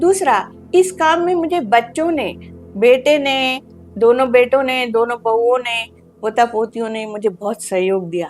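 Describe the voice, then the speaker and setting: Here a woman is speaking. Her voice is high-pitched. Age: 70s. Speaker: meditation centre volunteer, hospital founder's wife. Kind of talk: interview.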